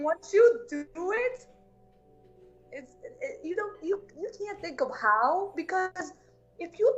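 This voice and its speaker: Pitch leaping very widely, with noticeable noise in the background. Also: woman. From Balkans (Macedonia/Albania). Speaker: entrepreneur. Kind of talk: interview. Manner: halting. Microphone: connection issues early on.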